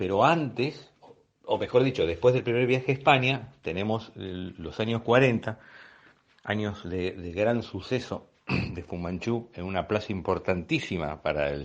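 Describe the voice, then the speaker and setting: A man speaks at a fairly slow pace. His intonation is lively. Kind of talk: podcast talk on magic history. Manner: unhurried, rambling.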